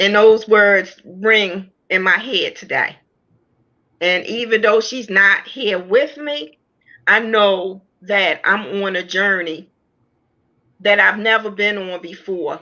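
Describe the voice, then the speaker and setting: At a very slow pace with long, frequent pauses, a woman speaks at a medium pitch with ordinary pitch variation. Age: 60s. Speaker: author sharing personal testimony. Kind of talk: testimony.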